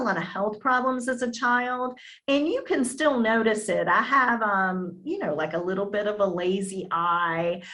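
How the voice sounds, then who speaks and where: A woman drawls with lively intonation and a bright, sharp tone amid audible room echo. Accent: slight Southern US. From US South, Virginia Beach area, Virginia. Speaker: actress. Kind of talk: interview. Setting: video call.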